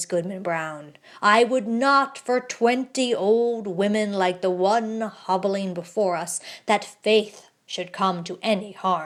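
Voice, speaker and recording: A woman's put-on character voice, medium in pitch and fairly slow, on a very clean recording with a silent background. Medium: read story. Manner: composed, smooth.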